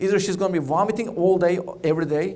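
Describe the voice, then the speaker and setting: Someone speaks with a Turkish accent amid audible room echo. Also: man. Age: 40s. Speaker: oncologist. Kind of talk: keynote speech. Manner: fast.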